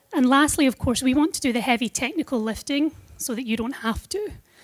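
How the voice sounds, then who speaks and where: A woman talks at a fairly quick pace with a Scottish accent. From Scotland. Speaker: product manager at a tech company. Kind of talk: conference presentation.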